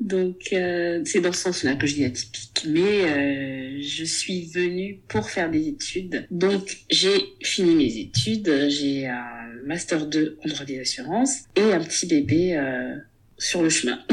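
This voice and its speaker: A woman with a fairly low pitch speaks at a very slow pace, with hardly any pauses. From Gabon. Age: 30s. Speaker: book club founder and content creator. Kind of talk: casual interview. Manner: hesitant, with frequent fillers.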